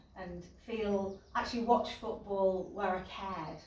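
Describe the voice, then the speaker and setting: Amid noticeable background noise and audible room echo, a woman with a Yorkshire accent speaks at a fairly slow pace and medium pitch. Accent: Yorkshire accent, unchanged. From Yorkshire (York). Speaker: football club director. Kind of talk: interview. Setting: indoors at stadium.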